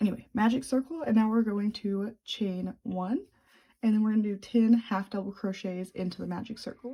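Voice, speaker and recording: A woman with a fairly high pitch and a dark, mellow, somewhat breathy tone talks at a moderate pace with fairly even intonation. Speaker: crochet tutorial maker. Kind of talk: tutorial. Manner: casual, chatty.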